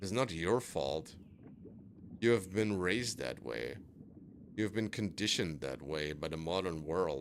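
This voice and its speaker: A man with a very deep, low pitch and vocal fry speaks at a fairly slow pace, his intonation lively and broken by long, frequent pauses. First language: not English. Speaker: gaming streamer. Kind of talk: casual monologue while gaming. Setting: live stream. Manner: hesitant, self-doubting.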